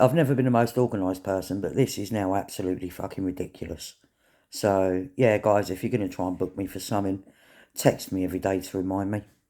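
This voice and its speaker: A man's fairly low voice in a British accent, fairly even in intonation, on a very clean recording with a silent background. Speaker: vlogger. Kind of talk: casual vlog monologue. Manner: halting.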